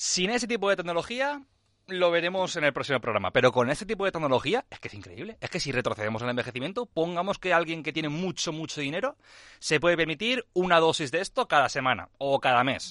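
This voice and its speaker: Against a quiet background, a man talks at a very fast pace in a high, bright, sharp voice with very wide pitch swings, the sound dry and close with no echo. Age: 20s. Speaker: biotechnologist, PhD researcher. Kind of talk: science explainer on radio.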